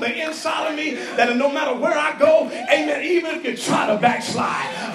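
A man shouts in an extremely high pitch with an animated tone, ordinary pitch variation and a moderate pace, with music playing in the background. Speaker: preacher. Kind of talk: sermon, preacher in full flow, rallying a live congregation with call-and-response. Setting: church with congregation. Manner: animated, loud, fervent, exhorting the crowd with shouted refrains.

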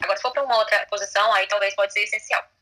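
Noticeable background noise runs behind the voice. It belongs to a woman. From Brazil. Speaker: lawyer. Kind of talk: casual chat.

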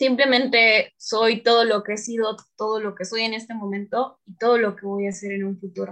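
A woman with a Tabasco accent, fairly high in pitch, monotone and flat, with hardly any pauses. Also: moderate pace, big swings in loudness. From Mexico, Tabasco. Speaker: business student. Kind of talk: panel discussion. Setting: remote recording from home.

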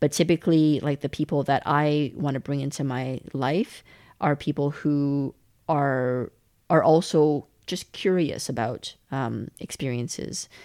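A woman with a Western Canadian accent speaks at a fairly slow pace, her very deep, low pitch and dark, mellow tone carried by fairly even intonation in a very clean recording with a silent background. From Canada (Calgary), born in China. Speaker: podcaster and storyteller. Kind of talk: casual interview conversation. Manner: hesitant, many fillers.

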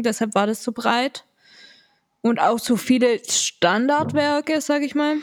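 Her voice is high-pitched, and this woman uses ordinary pitch variation. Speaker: podcast co-host, daughter of the other host, student. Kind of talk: casual chat.

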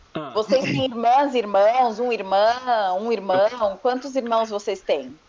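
Over noticeable background noise, a woman with a fairly high pitch speaks at a very slow pace with hardly any pauses and ordinary pitch variation. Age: 30s. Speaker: podcast guest. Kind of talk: casual chat.

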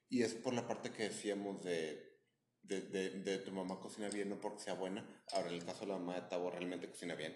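A man with a Mexican accent, very deep and low in pitch, flat and monotone, with audible room echo. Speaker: podcast co-host. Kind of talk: casual chat.

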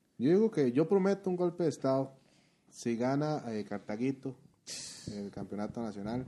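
A man speaks at a moderate pace with a medium pitch, a dark, mellow tone and very wide pitch swings. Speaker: podcast co-host. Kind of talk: casual chat.

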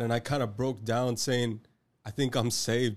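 On a very clean recording with a silent background, a man with an American accent and an ordinary speaking voice talks at a moderate pace and a medium pitch with fairly even intonation. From Texas, Rio Grande Valley. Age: 20s. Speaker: podcast co-host, Bible college graduate. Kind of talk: faith testimony.

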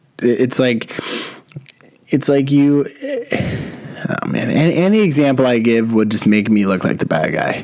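There is noticeable background noise as a man speaks at a fairly slow pace. His intonation is lively, broken by long, frequent pauses. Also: medium pitch for a man. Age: 20s. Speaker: podcast host. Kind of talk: casual monologue. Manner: animated.

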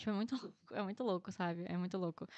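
A woman speaks with a Rio de Janeiro accent. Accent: Carioca Brazilian Portuguese. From Rio de Janeiro, Brazil (Guadalupe). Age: 20s. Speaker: agronomy student. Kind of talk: casual interview.

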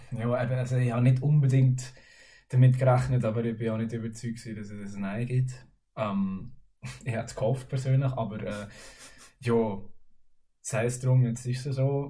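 With a dark, mellow tone and a somewhat breathy quality, the voice moves at a moderate pace in a monotone, flat intonation, with long, frequent pauses and audible room echo. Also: man, medium pitch for a man. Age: 20s. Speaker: music student. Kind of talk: casual chat.

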